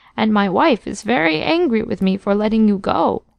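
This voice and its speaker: A woman's shaky, put-on character voice at medium pitch and a moderate pace. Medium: read story.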